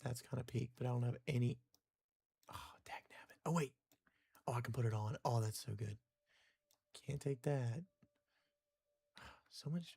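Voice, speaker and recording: A man with a medium pitch speaks at a moderate pace, somewhat breathy and dark and mellow in tone. His intonation is fairly even, and he takes long, frequent pauses. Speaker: live streamer, gamer. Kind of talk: casual gaming live stream commentary. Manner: quiet at times; casual, conversational.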